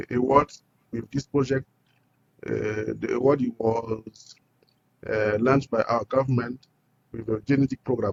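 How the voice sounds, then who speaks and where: A man with a Burkinabe accent speaks at a medium pitch in a monotone, flat way. He leaves long, frequent pauses. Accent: Burkinabè French-accented English. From Burkina Faso. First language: French. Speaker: entrepreneur. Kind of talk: interview. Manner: halting.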